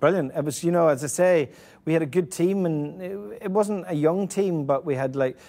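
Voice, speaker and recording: Talking at a fairly quick pace, a man with a Northern Irish accent uses a dark, mellow tone and lively intonation. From Northern Ireland (Ballymena). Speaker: football manager. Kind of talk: casual interview. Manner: halting, many repetitions.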